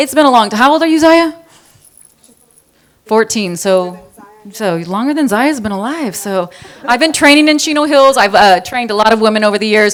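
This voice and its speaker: Fairly high-pitched and lively in intonation, a woman talks at a fairly quick pace broken by long, frequent pauses. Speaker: high school counselor and fitness trainer. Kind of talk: personal introduction talk to an audience. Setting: live event with audience, microphone. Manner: fast; loud.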